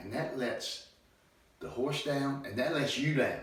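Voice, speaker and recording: Audible room echo and noticeable background noise fill the clip. Through them, a man talks. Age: 60s. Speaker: horse trainer. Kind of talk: monologue.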